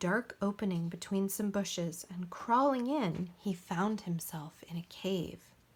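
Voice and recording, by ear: The clip features reading aloud in a natural voice. Its pitch moves in an ordinary way.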